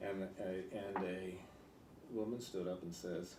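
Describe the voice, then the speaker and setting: Audible room echo follows a man with an American accent whose fairly low voice has a dark, mellow tone and fairly even intonation. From California. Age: 80s+. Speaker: political candidate. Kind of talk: interview. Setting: in person interview with editorial board. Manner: halting.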